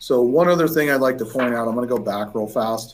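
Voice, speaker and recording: Here a man speaks at a medium pitch with fairly even intonation. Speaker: insurance agent. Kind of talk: webinar presentation. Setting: online webinar. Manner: fast.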